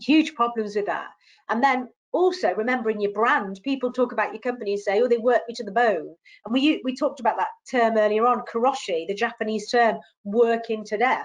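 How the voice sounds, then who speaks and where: A woman speaks at a fairly quick pace in a fairly high, animated voice with ordinary pitch variation. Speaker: HR webinar host. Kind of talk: webinar presentation. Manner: fast.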